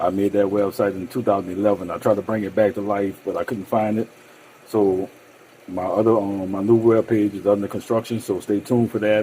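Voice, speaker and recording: Speaking at a fairly quick pace, a man with a fairly low pitch keeps a monotone, flat intonation. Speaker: cooking channel host. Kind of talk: cooking tutorial. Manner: fast; casual, hesitant with many ums.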